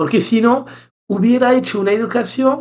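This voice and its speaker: This man speaks. He has a French accent. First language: French (speaking Spanish). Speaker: podcast co-host, therapist. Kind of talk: casual chat.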